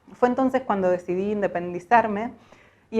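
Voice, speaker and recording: It is a plain, everyday voice. The pace is moderate, and the pitch varies in an ordinary way. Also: woman. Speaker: voice-over artist. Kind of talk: personal story told to camera.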